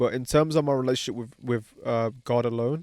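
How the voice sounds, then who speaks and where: A man speaks at a fairly quick pace in a British accent, with a medium pitch and fairly even intonation. The recording is very clean, with a silent background. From England, Pakistani heritage. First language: Pahari. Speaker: podcast host. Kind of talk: casual chat. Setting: outdoors at a barbecue.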